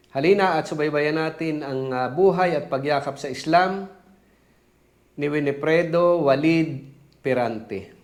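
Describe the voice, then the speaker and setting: Audible room echo surrounds a man speaking at a fairly slow pace with long, frequent pauses. His pitch is fairly high, with ordinary variation. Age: old. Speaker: interviewer. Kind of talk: interview.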